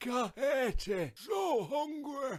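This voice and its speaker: In a put-on character voice, a man shouts at an extremely high pitch. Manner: yelling.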